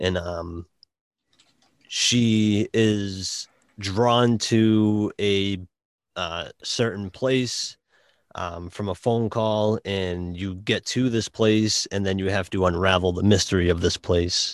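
A man with a Boston accent, fairly low-pitched, very slow, with fairly even intonation, a dry, close sound with no echo, and a quiet background

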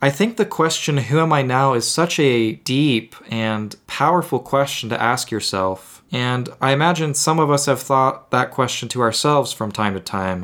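With an ordinary speaking voice at a medium pitch, a man talks at a moderate pace with lively intonation and hardly any pauses, on a very clean recording with a silent background. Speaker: music podcast host. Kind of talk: solo podcast monologue about music. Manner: casual, a bit self-deprecating, improvises.

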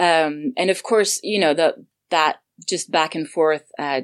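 A woman's very deep, low voice in a Swedish accent, with ordinary pitch variation, over a quiet background. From Sweden; Gothenburg, Sweden. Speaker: audio drama creator and voice actor. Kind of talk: casual interview chat.

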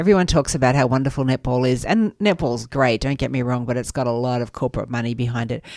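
With an Australian accent, a woman speaks at a very fast pace with hardly any pauses in a very deep, low voice with ordinary pitch variation, on a very clean recording with a silent background. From western Sydney, Australia. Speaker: charity chief executive. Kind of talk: radio interview. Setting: radio studio.

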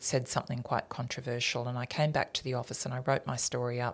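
A very deep, low-pitched woman with an Australian accent, on a very clean recording with a silent background. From rural New South Wales, Australia. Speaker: business executive, former broadcaster. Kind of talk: interview.

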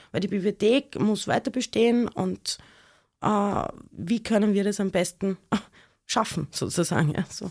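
A woman at medium pitch speaks fairly slowly with ordinary pitch variation and long, frequent pauses, the sound dry and close with no echo in a very clean recording with a silent background. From Austria, Graz (Styria). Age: 40s. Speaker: historian and author. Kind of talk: interview. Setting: studio.

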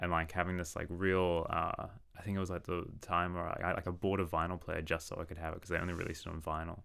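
A man with an Australian accent talks at a very fast pace in a very deep, low voice, his tone bright and sharp and his intonation flat and monotone. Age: 30s. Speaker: saxophonist and composer. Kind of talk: casual chat.

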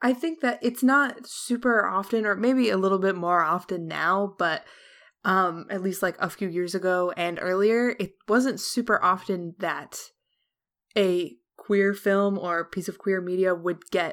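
A woman's medium-pitched, a normal speaking voice, fairly slow, with ordinary pitch variation on a very clean recording with a silent background. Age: 20s. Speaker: artist and streamer. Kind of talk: casual chat.

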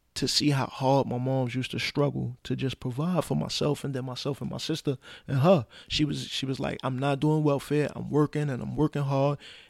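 In a very clean recording with a silent background and a dry, close sound with no echo, a man talks in a normal speaking voice with an American accent. His pitch is medium, his intonation fairly even and his pace moderate. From Brooklyn, New York (Brownsville, East New York). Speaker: social worker, formerly incarcerated father. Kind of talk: casual chat.

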